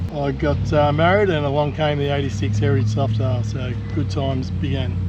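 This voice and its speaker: With an Australian accent and very wide pitch swings, a man speaks amid noticeable background noise and audible room echo. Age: 50s. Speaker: motorcycle rider. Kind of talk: casual chat.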